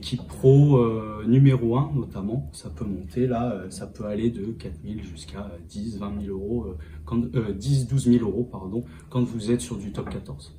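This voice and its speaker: A man with a fairly low pitch speaks with lively intonation and big swings in loudness. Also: moderate pace. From France, Angoulême. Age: 30s. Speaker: rugby fitness coach. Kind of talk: interview. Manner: halting, many hesitations.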